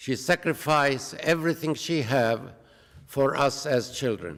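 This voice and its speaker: This man has an Arabic accent. He speaks at a very slow pace. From Palestine, Jerusalem. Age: 80s+. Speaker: peace activist. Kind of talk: public talk.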